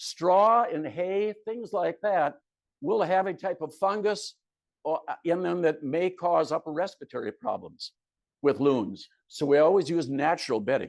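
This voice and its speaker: Against a quiet background, a man with a high pitch and lively intonation speaks at a fairly slow pace. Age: 70s. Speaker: retired teacher and loon conservation volunteer. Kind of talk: slide presentation talk.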